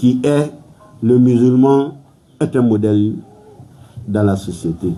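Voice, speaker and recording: A man with a West African accent talks very slowly at a medium pitch with ordinary pitch variation, with music in the background and audible room echo. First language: Malinke (speaking French). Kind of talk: sermon.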